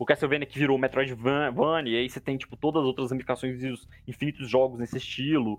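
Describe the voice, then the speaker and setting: A man's medium-pitched, flat, monotone voice at a very fast pace, with hardly any pauses. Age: 20s. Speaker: podcast co-host. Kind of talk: casual chat.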